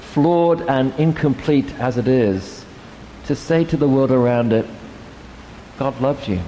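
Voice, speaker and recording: Ordinary pitch variation at a moderate pace, with noticeable background noise. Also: man. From England. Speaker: priest. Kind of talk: sermon. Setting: church.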